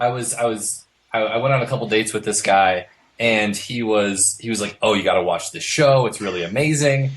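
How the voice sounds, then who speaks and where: A plain, everyday voice with an American accent, fairly quick in pace, with ordinary pitch variation and a quiet background. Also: man, medium pitch for a man. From US Midwest (Iowa). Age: 20s. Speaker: tarot deck artist. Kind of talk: interview.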